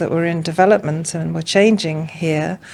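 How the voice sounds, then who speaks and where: A woman with an English accent at a moderate pace. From England. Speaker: art curator. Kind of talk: podcast interview. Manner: hesitant, many fillers.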